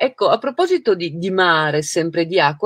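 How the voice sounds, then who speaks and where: A woman speaks against a quiet background. The sound is dry, with no echo. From Trieste, northeast Italy; Italy. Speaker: writer and interviewer; interviewer. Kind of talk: interview. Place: home room.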